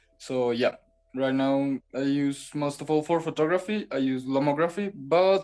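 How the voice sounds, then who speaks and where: Music plays in the background as a man with a Spanish accent and a fairly high pitch speaks at a moderate pace with ordinary pitch variation. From Colombia, Bogota. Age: 20s. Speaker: photographer and design student. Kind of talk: interview. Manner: halting.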